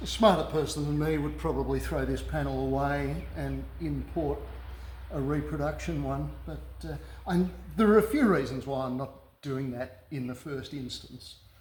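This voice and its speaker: Moderate pace, an Australian accent, and audible room echo. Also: man. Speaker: car restorer. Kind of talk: workshop tutorial. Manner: halting, many fillers.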